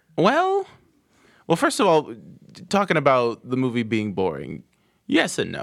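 The recording is very clean, with a silent background. A man speaks at a fairly slow pace, pausing long and often. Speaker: podcast co-host. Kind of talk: casual banter.

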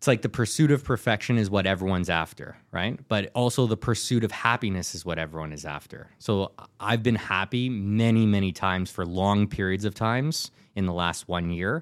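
Here a man uses a normal speaking voice at a fairly low pitch with ordinary pitch variation. He talks at a fairly quick pace in a very clean recording with a silent background. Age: 30s. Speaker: entrepreneur. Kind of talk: casual chat. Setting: studio.

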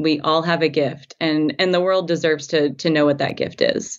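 Speaking with an American accent, a woman uses a very deep, low pitch. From US South, Tennessee. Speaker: food blogger and culinary professional. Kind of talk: casual interview chat.

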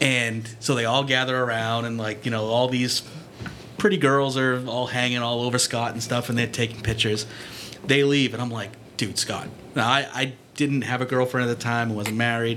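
Monotone, flat intonation with an American accent at a moderate pace, over noticeable background noise. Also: man, medium pitch for a man. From Peabody, Massachusetts. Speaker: former video store assistant manager. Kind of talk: live podcast panel chat. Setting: stage with audience.

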